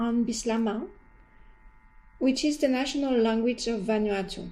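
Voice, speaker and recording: Speaking with a French accent, a woman uses a high pitch and a dark, mellow tone, fairly even intonation and a moderate pace, with audible room echo. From France. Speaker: university lecturer in anthropology. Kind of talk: course introduction lecture. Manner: formal.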